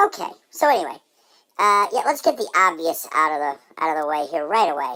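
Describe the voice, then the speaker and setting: Pitched in the middle, the delivery is a put-on character voice. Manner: sarcastic, caustic.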